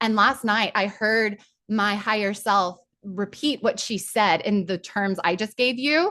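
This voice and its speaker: Against a quiet background, a woman talks at a fairly slow pace in a bright, sharp, animated tone with ordinary pitch variation. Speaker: spiritual coach leading online workshop. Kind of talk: guided group session; casual chat.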